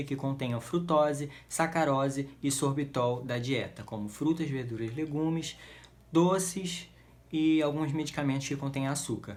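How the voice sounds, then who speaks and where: A man with a plain, everyday voice, fairly high pitch, fairly even intonation and a moderate pace. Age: 20s. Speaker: patient advocate for a rare genetic disease. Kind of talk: informational talk to camera.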